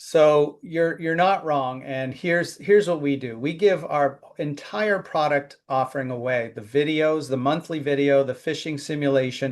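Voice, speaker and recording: A man talks at a moderate pace with hardly any pauses, in a normal speaking voice that sits fairly high in pitch and has ordinary pitch variation. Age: 50s. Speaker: cybersecurity company founder. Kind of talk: interview.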